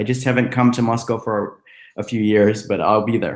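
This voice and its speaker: With an American accent, a man talks in an unremarkable speaking voice at a medium pitch, his intonation fairly even. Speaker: screenwriter and teacher. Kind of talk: webinar talk.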